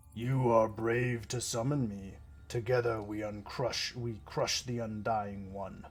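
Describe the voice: In a put-on character voice, someone rumbles at a fairly slow pace with fairly even intonation against clear background noise. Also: man, medium pitch for a man.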